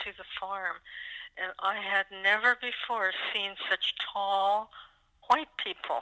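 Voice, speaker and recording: A woman with an American accent speaks at a very slow pace. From California. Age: 80s+. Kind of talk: oral history interview answer. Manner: reflective, hesitant.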